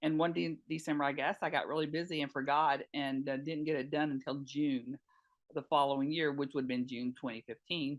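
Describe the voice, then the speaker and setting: In a North Carolina accent, a woman speaks with very deep, low pitch. Her intonation stays fairly even. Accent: Southern US (North Carolina). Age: 60s. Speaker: retired nurse and patient advocate. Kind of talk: interview testimony. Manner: hesitant, many fillers.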